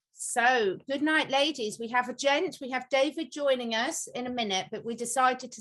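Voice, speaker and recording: A woman speaks at a fairly quick pace. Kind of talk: hosting a casual group video chat.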